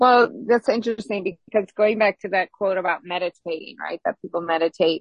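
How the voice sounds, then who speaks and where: A woman at a moderate pace with ordinary pitch variation and a plain, everyday voice. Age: 50s. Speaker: relationship podcast co-host. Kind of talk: casual chat.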